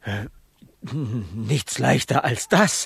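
A man's put-on character voice at a medium pitch, fairly bright in tone with vocal fry and a husky, rough edge, delivered at a very slow pace. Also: lively intonation.

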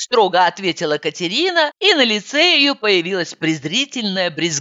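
A natural reading voice carries this clip.

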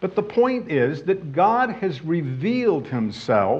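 A man's very slow speech with very wide pitch swings and audible room echo. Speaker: Bible teacher. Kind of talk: sermon.

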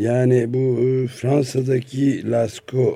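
This man's voice has a dark, mellow tone and a medium pitch. There is a somewhat breathy quality to it. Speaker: radio host. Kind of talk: radio interview.

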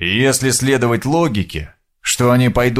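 Against a quiet background, the passage is read aloud in a natural voice with fairly even intonation.

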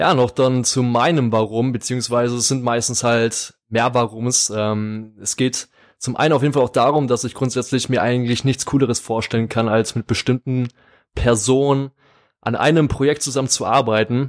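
On a very clean recording with a silent background, a man with a normal speaking voice talks at medium pitch and moderate pace in fairly even intonation. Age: 20s. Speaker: podcast co-host, psychology student. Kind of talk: casual podcast chat.

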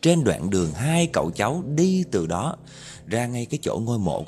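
The voice heard here is a natural reading voice. It stays that way from start to finish.

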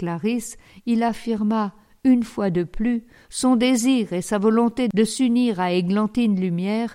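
The pitch varies in an ordinary way as the speaker is reading aloud in a natural voice.

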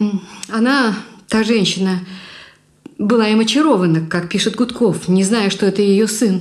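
Just an unforced reading voice

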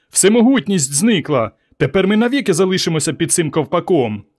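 Using a put-on character voice, a man speaks shrilly at a high pitch with very wide pitch swings, on a very clean recording with a silent background. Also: fairly quick pace. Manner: screeching.

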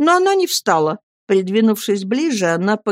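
An unforced reading voice is heard, and the background is quiet.

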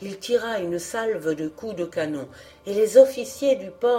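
Someone reads in an unforced voice, and the intonation is lively.

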